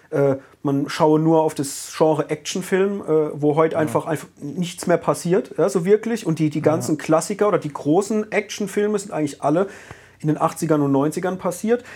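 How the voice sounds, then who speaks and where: With a plain, everyday voice, a man speaks at a moderate pace, pitched fairly high, with ordinary pitch variation. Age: 30s. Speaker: podcast host. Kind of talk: casual chat.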